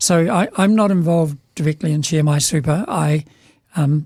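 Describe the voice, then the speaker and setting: With a New Zealand accent, the speaker talks at a fairly slow pace with fairly even intonation. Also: man. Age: 70s. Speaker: business leader. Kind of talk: casual chat. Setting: studio.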